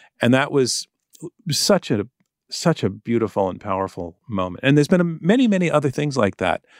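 On a very clean recording with a silent background, a man speaks at a medium pitch and a fairly quick pace with very wide pitch swings. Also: dry, close sound with no echo. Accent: American. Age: 60s. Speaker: journalist and documentary filmmaker. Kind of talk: interview.

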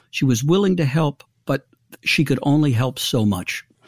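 At a moderate pace, a man with a fairly high, somewhat breathy voice speaks with lively intonation, the sound dry and close with no echo. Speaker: recovery ministry founder. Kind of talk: interview.

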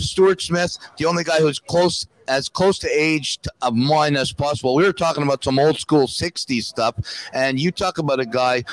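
At a moderate pace and with ordinary pitch variation, a man speaks in a plain, everyday voice, the sound dry and close with no echo. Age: 60s. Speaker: former hockey goalie and coach. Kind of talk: casual chat. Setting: live event at a restaurant.

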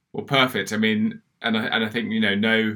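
With a southern English accent, a man speaks at a moderate pace in a fairly low, bright and sharp voice with lively intonation, on a very clean recording with a silent background. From southern England, Oxford. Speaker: podcast co-host. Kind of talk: casual chat. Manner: halting.

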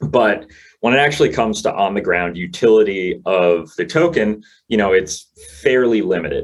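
This speaker has a normal speaking voice and an American accent. The pace is moderate. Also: man. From New York City. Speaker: crypto company founder. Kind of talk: casual interview chat.

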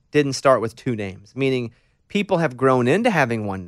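A man with an American accent and very wide pitch swings, in a very clean recording with a silent background. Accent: slight Southern accent, mostly trained away. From US South, Arkansas. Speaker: radio host. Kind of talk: casual interview. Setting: studio.

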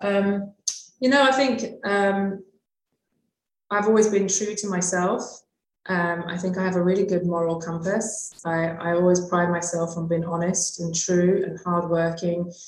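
In a British accent, the speaker goes at a fairly slow pace with fairly even intonation. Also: woman, medium pitch for a woman. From UK. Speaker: hospitality consultant. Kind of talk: interview.

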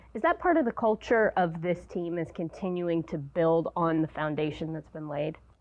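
A woman speaks at a moderate pace and fairly low pitch with fairly even intonation, in an unremarkable speaking voice. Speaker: radio co-host. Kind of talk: casual chat.

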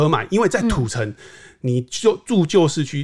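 Recorded very cleanly against a silent background, the voice moves at a moderate pace with very wide pitch swings. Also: man. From southern Taiwan. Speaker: real estate market analyst. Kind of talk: casual interview chat.

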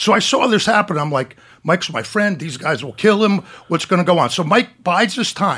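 Here a man talks at a fairly quick pace with a high pitch. His bright, sharp tone carries lively intonation. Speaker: retired police officer. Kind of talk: storytelling. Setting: studio. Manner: animated.

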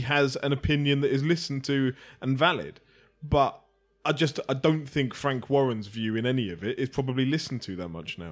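A man with an English accent speaks fairly quickly at a fairly high pitch, in a very clean recording with a silent background. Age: 30s. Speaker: boxing podcast co-host. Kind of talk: casual chat.

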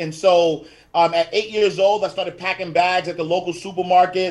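A high-pitched man with a New York accent, fairly even intonation and a moderate pace. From Harlem, New York City. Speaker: financial educator and author. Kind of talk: interview.

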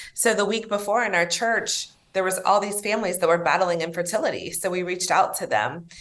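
A woman at medium pitch with fairly even intonation, a fairly quick pace and hardly any pauses, amid noticeable background noise. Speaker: nonprofit president and social worker. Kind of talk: interview.

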